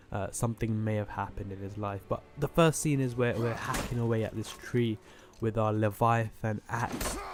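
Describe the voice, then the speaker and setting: With a British accent, a man speaks at medium pitch and a moderate pace with fairly even intonation over noticeable background noise. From Britain. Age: 20s. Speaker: gaming YouTuber. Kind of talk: gameplay commentary. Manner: casual, filler-heavy.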